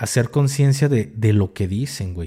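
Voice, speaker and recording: Over a very clean recording with a silent background, a man speaks with a Mexican accent and a dark, mellow tone. His pace is moderate, with ordinary pitch variation. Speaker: podcast co-host, ex-military content creator. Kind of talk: casual chat.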